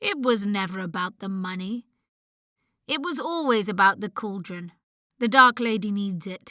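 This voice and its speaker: A woman puts on a gruff character voice at a medium pitch and moderate pace. Her intonation is lively, with big swings in loudness and long, frequent pauses. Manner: sinister, menacing.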